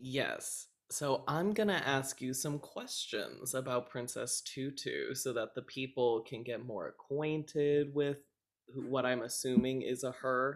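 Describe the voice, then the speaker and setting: Here is a man with a plain, everyday voice. He speaks at a fairly slow pace and medium pitch. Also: ordinary pitch variation. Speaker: podcast host. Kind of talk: casual chat.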